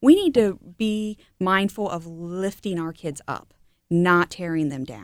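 A woman with a plain, everyday voice speaks at a fairly slow pace and fairly low pitch, with ordinary pitch variation and big swings in loudness. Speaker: health executive and sports parent. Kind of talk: casual interview.

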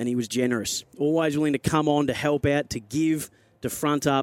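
A man with an Australian accent talks at a moderate pace in a fairly high pitch, with monotone, flat intonation. The sound is dry and close with no echo. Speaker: football radio broadcaster. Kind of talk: on-air eulogy tribute before a match broadcast. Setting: radio studio. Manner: solemn, measured and heartfelt; slightly halting with emotion at the start.

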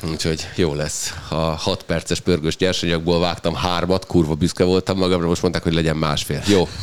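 A man's very deep, low voice, fairly quick and flat, with hardly any pauses and noticeable background noise. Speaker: sports podcast host. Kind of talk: casual chat.

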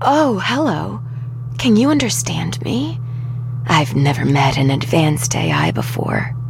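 Loud background noise surrounds a man using a hoarse, put-on character voice at a medium pitch and a fairly slow pace. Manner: friendly, kind, chatty.

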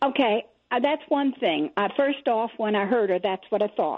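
An ordinary speaking voice from a woman, fairly high in pitch, with lively intonation. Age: 60s. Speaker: caller. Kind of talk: call-in to talk radio.

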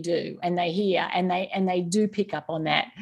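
Fairly low in pitch, a woman talks with an Australian accent. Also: quiet background. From Australia, rural Victoria. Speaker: author. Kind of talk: interview. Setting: remote call.

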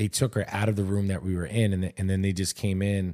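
With a New York accent, a man speaks in a very deep, low pitch and a dark, mellow tone on a very clean recording with a silent background. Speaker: podcast co-host. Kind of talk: casual chat.

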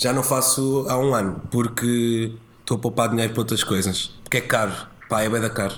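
This man has an ordinary speaking voice at medium pitch. He talks at a moderate pace with fairly even intonation and very even loudness. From Portugal, rural village. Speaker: TV presenter and comedian. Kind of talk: casual chat.

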